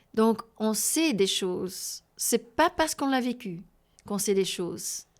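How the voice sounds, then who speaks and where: At a very slow pace, a woman speaks at a fairly high pitch in a very clean recording with a silent background. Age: 60s. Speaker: abuse survivor and healing workshop leader. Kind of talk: interview. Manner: halting, with repetitions and hesitations.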